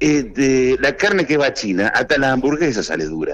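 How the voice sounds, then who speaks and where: A man's voice at a medium pitch, with a Rioplatense accent. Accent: Argentine Spanish (rioplatense). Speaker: farmer and former politician. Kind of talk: radio interview. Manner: halting.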